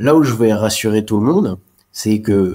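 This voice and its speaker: This man's voice sits fairly low. He keeps to a moderate pace. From France, Alsace. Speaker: chartered accountant. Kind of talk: interview. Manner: halting, frequent repetitions.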